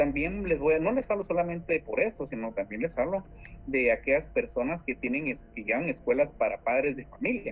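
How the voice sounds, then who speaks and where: A man's fairly high voice makes very wide pitch swings while keeping a moderate pace. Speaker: law student tutor leading a class. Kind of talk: online class lecture. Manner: animated.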